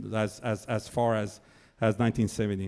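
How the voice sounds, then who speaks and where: This man speaks in a fairly low pitch with a French accent. His pace is moderate and his intonation is monotone and flat. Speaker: political speaker. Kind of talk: public speech.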